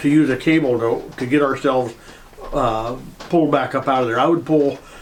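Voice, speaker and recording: Noticeable background noise behind a man with a fairly high pitch, ordinary pitch variation and a moderate pace. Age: 70s. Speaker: retired tow truck driver and storyteller. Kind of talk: casual storytelling monologue. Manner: halting, with many fillers.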